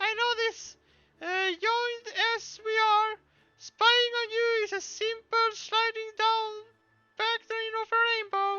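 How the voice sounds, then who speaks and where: A squeaky, put-on character voice with extremely high pitch speaks at a fairly slow pace in a monotone, flat intonation, with long, frequent pauses. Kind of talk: archaic fantasy speech. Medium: game stream. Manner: playful and grandiose.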